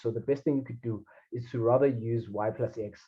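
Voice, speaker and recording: Somewhat breathy, a man talks at a moderate pace with fairly even intonation. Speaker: math tutor. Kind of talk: tutoring session. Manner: halting.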